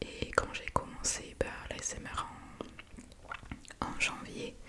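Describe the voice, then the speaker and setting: Whispering at a very slow pace, a woman swings widely in loudness while noticeable noise runs in the background. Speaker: ASMR creator. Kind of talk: casual talk to camera. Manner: whispered.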